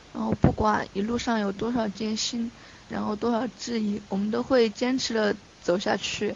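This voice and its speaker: With noticeable background noise behind her, a woman talks in a fairly high pitch and fairly even intonation. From Chongqing, China. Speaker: fan club deputy leader. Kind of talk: casual interview. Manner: halting, many fillers.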